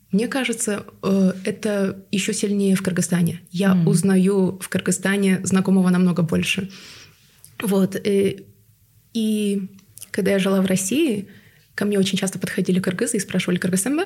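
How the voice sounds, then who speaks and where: A woman talks in a dark, mellow, somewhat breathy tone at medium pitch. Her delivery is monotone and flat, broken by long, frequent pauses. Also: moderate pace. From Tuva, Russia. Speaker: podcast guest. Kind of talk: casual interview chat.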